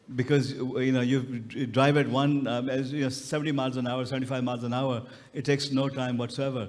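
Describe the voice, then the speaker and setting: Delivered at a very fast pace, the speech has a monotone, flat intonation and audible room echo. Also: man. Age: 60s. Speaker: retired professor and tech entrepreneur. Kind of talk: panel interview.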